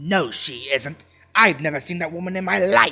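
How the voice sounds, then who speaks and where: Music plays in the background as a man uses a put-on character voice at a fairly high pitch. He keeps a moderate pace with ordinary pitch variation. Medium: read story. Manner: scoffing, dramatic.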